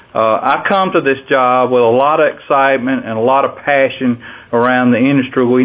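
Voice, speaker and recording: With a Southern US accent, a man talks at a moderate pace in a medium pitch and fairly even intonation. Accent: Southern US (Georgia). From US South, Georgia. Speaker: farm organization president and farmer. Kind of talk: interview.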